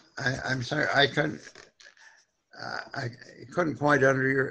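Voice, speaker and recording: At a fairly slow pace, a man with a medium pitch speaks in a bright, sharp tone with vocal fry and monotone, flat intonation. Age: 90s. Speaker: solar homeowner speaker. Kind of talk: Q&A on video call. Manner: halting.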